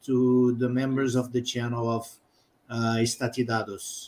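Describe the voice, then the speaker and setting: A man's medium-pitched voice with a Brazilian accent. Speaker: live stream host and interpreter. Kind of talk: interpreting.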